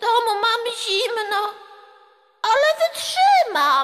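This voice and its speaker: A woman puts on a character voice that swings very widely in pitch. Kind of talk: stage play performance.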